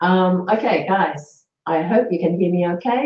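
Fairly low in pitch, the woman's voice is somewhat breathy. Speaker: cooking demonstrator. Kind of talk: live cooking demonstration stream. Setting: live stream with webcams. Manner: hesitant, many fillers.

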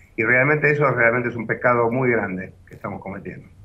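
The pace is fairly quick as a man speaks. His pitch variation is ordinary. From Argentina. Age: 60s. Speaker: business association president. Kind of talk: news interview. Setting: phone call. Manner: halting. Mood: serious, regretful. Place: office. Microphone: video call.

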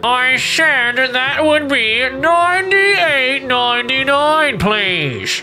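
A female-sounding, put-on character voice, high-pitched and nasal, moves at a very slow pace with hardly any pauses over clear background noise.

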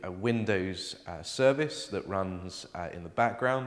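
Against a quiet background, a man talks in an ordinary speaking voice at a fairly low pitch, a moderate pace and with ordinary pitch variation. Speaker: presenter. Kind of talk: tutorial. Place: office.

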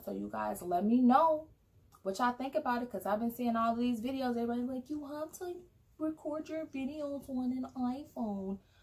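A woman's speech moves at a moderate pace, her intonation lively throughout. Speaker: vlogger. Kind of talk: casual product review chat. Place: home room. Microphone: phone near.

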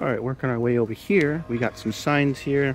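Faint music plays behind a man talking at a moderate pace with fairly even intonation. The sound is dry, with no echo. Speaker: shopper vlogger. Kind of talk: casual vlog chat. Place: shop. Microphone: phone near.

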